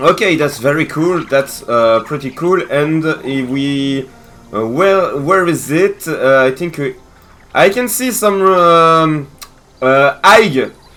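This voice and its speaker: With a French accent, a man speaks at a very slow pace in a fairly high pitch, his intonation lively. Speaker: gaming content creator. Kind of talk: gameplay commentary. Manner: hesitant, many fillers.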